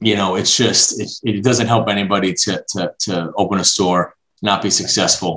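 Using an ordinary speaking voice, a man with an American accent talks at a moderate pace with a fairly low pitch and fairly even intonation. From Brooklyn, New York. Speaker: franchise development executive. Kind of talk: interview.

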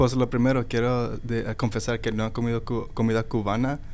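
Speaking fairly quickly, a man with a medium-pitched voice keeps a monotone, flat intonation. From Dallas, Texas (born in Mexico). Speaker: community director of a nonprofit. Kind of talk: casual chat. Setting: studio.

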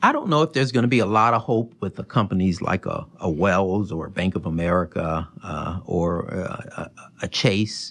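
Hardly any pauses interrupt a man speaking at a fairly low pitch with lively intonation. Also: moderate pace. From Chicago, US Midwest. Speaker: business development executive. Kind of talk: interview. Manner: halting, many fillers and repeated words.

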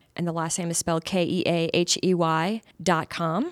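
In a plain, everyday voice, a woman speaks with fairly low pitch and fairly even intonation on a very clean recording with a silent background. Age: 50s. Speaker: realtor. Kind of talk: radio interview. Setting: studio.

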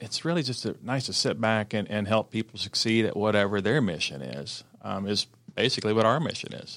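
Fairly low male voice, its pitch varying in an ordinary way. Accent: American. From US South, Cherokee County, Georgia. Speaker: magazine publisher. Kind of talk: radio interview. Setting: studio. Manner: hesitant with many fillers.

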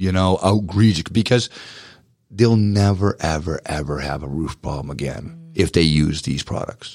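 A man speaks with a very deep, low pitch and ordinary pitch variation in a Boston accent. The recording is very clean with a silent background. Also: moderate pace. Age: 40s. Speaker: power washing business owner. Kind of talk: radio interview. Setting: studio.

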